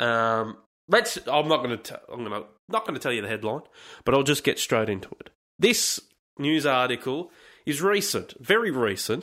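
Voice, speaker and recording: Heard on a very clean recording with a silent background, a man talks in an Australian accent. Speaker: podcast host. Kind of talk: casual solo monologue.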